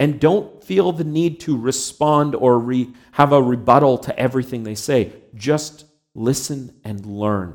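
The voice is an unremarkable speaking voice with a Canadian accent. It moves at a fairly slow pace with ordinary pitch variation. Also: man, medium pitch for a man. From Canada. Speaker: pastor. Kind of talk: sermon.

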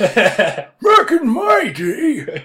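The voice is high-pitched. It is a put-on character voice.

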